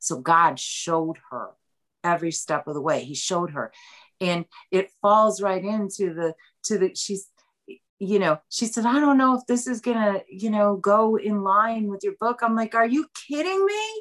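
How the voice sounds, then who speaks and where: An ordinary speaking voice at a moderate pace, lively in intonation, with a dry, close sound and no echo. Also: woman, medium pitch for a woman. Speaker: author. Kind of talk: interview about a book.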